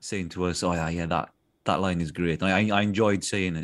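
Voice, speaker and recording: A man with a South Wales accent at a moderate pace. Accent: South Wales Welsh English. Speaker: voice actor. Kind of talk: casual interview. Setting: video call.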